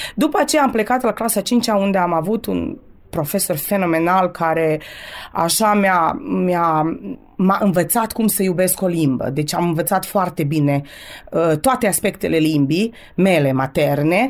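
Her loudness very even and her intonation lively, a woman speaks at a fairly slow pace. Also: fairly low pitch for a woman. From Romanian community of Vojvodina, Serbia (Torac, Banat). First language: bilingual Romanian and Serbian (speaking Romanian). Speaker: French teacher. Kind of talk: radio interview. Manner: hesitant, many filler sounds.

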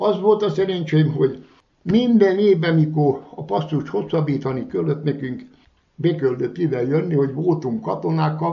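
With a normal speaking voice, a man talks at a moderate pace in a fairly high pitch with lively intonation. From Vojvodina, Serbia (Kishegyes). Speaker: retired former guest worker. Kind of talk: interview.

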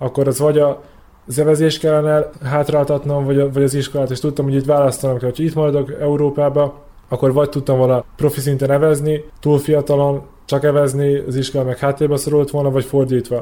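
The voice has a dark, mellow tone and a monotone, flat intonation, delivered at a very fast pace. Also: man. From Vojvodina, Serbia (Subotica). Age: 20s. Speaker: Olympic rower. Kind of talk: interview. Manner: halting.

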